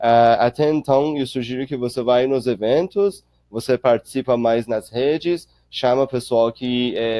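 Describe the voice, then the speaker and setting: A man with a medium pitch speaks with a non-native accent and ordinary pitch variation. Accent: noticeable foreign accent in Portuguese. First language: not Portuguese (speaking Portuguese). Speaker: startup accelerator director. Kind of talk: webinar Q&A. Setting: online webinar. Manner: halting, with fillers.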